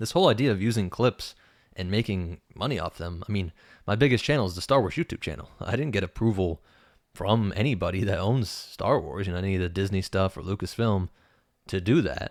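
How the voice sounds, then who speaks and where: A man's fairly low voice with ordinary pitch variation at a fairly quick pace, dry and close with no echo, on a very clean recording with a silent background. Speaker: YouTuber. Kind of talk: tutorial. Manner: fast; casual.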